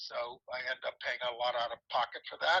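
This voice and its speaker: A man with an American accent talks at a fairly quick pace and fairly high pitch in a bright, sharp tone. The sound is dry and close with no echo. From US Northeast, Long Island, New York. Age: 70s. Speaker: retired senior. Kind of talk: interview. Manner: halting.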